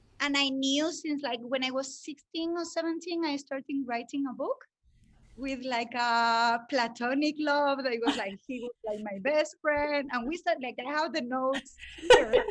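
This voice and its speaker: Speaking at a moderate pace, a woman with a Spanish accent uses a high pitch. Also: ordinary pitch variation. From Spain. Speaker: breathwork facilitator and language teacher. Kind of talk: interview. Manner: hesitant, many fillers.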